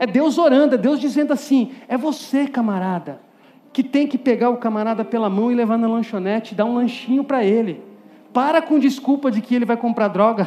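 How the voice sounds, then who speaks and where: An animated man at a fairly quick pace, his voice extremely high in pitch. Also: ordinary pitch variation. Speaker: preacher. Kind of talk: sermon to a youth audience, with direct appeals, Bible exposition and a closing prayer. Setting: stage with audience.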